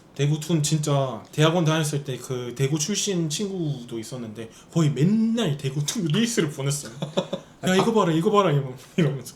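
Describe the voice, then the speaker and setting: Noticeable background noise sits behind a man speaking at a moderate pace. His pitch is fairly high and his intonation lively. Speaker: foreign YouTuber speaking Korean. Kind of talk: casual talk to camera.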